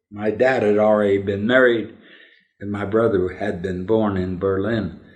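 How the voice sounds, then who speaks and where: The speech has a fairly even intonation, with audible room echo around it. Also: man. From Denver, Colorado, US. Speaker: interviewee recounting family history. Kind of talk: oral history interview.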